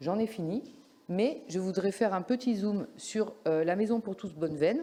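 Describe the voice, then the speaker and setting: A woman's medium-pitched voice with a dark, mellow tone, ordinary pitch variation and a moderate pace. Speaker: local councillor. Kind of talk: council meeting report. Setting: council meeting. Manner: formal.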